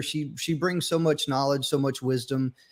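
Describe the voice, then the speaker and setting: There is noticeable background noise behind this speaker. A man talks at a moderate pace with ordinary pitch variation. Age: 50s. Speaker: podcast host. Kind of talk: casual chat.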